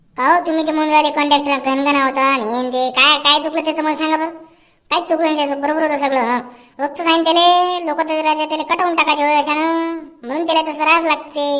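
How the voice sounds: In a cartoonish character voice, a woman speaks at a high pitch and a moderate pace with monotone, flat intonation.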